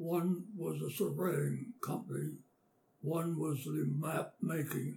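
A man with an American accent at a very slow pace, with noticeable background noise. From western Pennsylvania. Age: 80s+. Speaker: war veteran. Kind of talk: oral history interview. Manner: halting.

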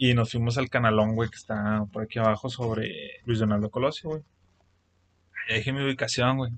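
A man in a Mexican accent talks at a fairly quick pace with medium pitch and fairly even intonation, broken by long, frequent pauses. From Mexico. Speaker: podcast co-host. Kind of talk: casual chat. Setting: improvised home studio.

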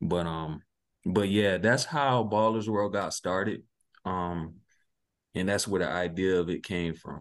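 With a South Carolina accent, a man speaks at a fairly slow pace in a very deep, low pitch, with ordinary pitch variation, long, frequent pauses, and music in the background. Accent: US Southern (South Carolina). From South Carolina (Sumter). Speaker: basketball tournament organizer. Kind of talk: interview. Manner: halting, many fillers.

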